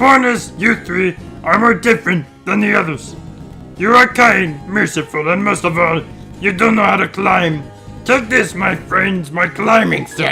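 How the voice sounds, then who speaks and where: Over clear background music, a man puts on a character voice at a high pitch. He keeps a moderate pace. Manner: silly, exaggerated.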